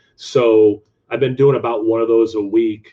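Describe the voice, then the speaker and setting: At a fairly slow pace, the speaker uses a plain, everyday voice with an American accent and fairly even intonation. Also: man. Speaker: beer reviewer YouTuber and teacher. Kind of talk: casual interview chat.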